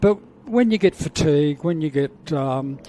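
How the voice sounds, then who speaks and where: An Australian-accented man at a fairly slow pace, fairly high in pitch, over noticeable background noise. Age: 70s. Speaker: cancer awareness advocate and former commentator. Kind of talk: casual interview. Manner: halting.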